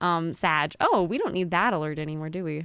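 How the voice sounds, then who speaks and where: A woman talks at a fairly quick pace. The recording is very clean, with a silent background. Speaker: streamer. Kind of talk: casual chat. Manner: fast.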